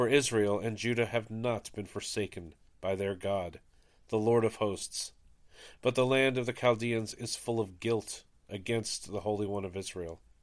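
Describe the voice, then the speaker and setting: A man with an ordinary speaking voice, fairly low in pitch, at a moderate pace on a very clean recording with a silent background. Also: fairly even intonation. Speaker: podcast host leading daily prayer. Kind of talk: reading aloud and liturgical prayer. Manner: solemn, reverent.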